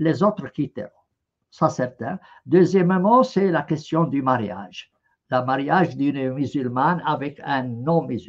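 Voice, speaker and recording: This man's pitch sits fairly high and varies in an ordinary way as he talks very slowly. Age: 70s. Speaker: professor. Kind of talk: interview. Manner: halting.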